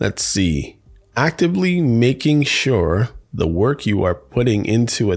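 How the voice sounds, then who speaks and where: Recorded very cleanly against a silent background, a man with a medium pitch sounds somewhat breathy and uses lively intonation. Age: 50s. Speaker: podcast host. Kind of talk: casual monologue. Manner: casual, laughs often.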